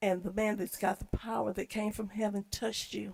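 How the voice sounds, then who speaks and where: A woman talks at a fairly quick pace with an American accent. Her voice is somewhat breathy. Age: 60s. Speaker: public commenter. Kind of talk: public comment at a meeting.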